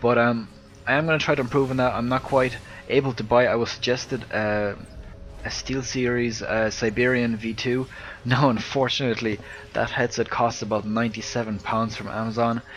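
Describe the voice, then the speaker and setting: The delivery comes at a fairly quick pace in an Irish accent with monotone, flat intonation. Noticeable background noise runs underneath. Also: man, medium pitch for a man. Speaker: video game commentator. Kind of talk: casual chat; live commentary. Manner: hesitant, many fillers.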